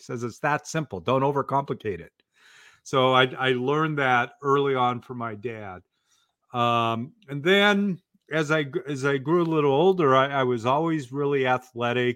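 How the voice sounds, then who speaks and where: With an American accent, a man with an unremarkable speaking voice talks at a moderate pace and medium pitch, showing ordinary pitch variation and big swings in loudness. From US Pacific Northwest, Portland, Oregon. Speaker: author and speaking coach. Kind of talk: podcast interview.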